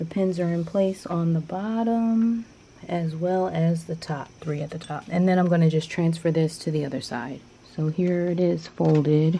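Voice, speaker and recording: Soft-spoken and fairly low in pitch, a woman talks at a moderate pace with ordinary pitch variation and a dark, mellow tone. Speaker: sewing vlogger. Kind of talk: soft-spoken ASMR sewing tutorial. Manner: soft-spoken, gentle.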